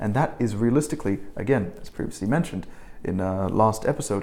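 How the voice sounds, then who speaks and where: A man with an Australian accent, a dark, mellow tone, lively intonation and a fairly quick pace. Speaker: English teaching instructor. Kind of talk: tutorial. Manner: halting, self-correcting.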